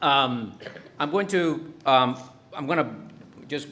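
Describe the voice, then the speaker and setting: Over noticeable background noise and audible room echo, a man speaks with a Spanish accent and lively intonation. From Dominican Republic, then New York from age 12. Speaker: professor. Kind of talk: lecture. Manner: halting, many fillers.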